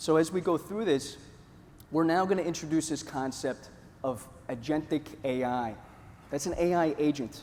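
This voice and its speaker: This man has a New York accent and a fairly high pitch. His pitch varies in an ordinary way. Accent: New York-like. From US Northeast, Northeast Pennsylvania. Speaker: conference presenter. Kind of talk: conference presentation. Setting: stage with audience. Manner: animated storytelling.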